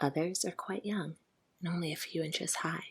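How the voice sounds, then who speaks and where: Soft-spoken and calm in tone, the voice moves at a moderate pace. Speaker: ASMR sleep story narrator. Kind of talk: sleep story. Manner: soft-spoken, calm.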